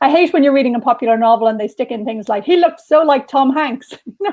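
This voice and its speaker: With an Irish accent, a woman talks very fast in a high pitch with lively intonation. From Dublin, Ireland. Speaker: novelist. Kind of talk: interview answer.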